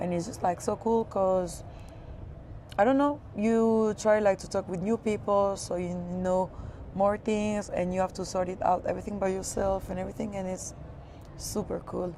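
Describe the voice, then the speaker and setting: With a French accent, a woman speaks at a medium pitch in a dark, mellow tone. Her pace is moderate and her intonation fairly even. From France, Paris area. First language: Spanish and French. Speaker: creative studio founder. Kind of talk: casual interview. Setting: outdoors.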